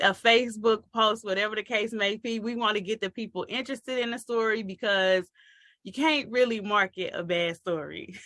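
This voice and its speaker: The voice is loud, with a bright, sharp tone. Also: woman. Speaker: marketing coach for authors. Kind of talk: online training talk. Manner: casual, playful.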